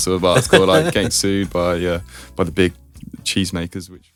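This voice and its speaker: Very fast speech with an English accent and fairly even intonation, over music in the background. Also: man. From England, near Birmingham. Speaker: chocolate brand founder. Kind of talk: interview answer.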